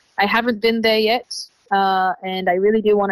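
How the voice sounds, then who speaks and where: Recorded dry and close with no echo, a woman with an Australian accent talks at a moderate pace. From Israel, Tel Aviv. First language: Hebrew. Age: 20s. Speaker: traveler. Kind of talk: interview.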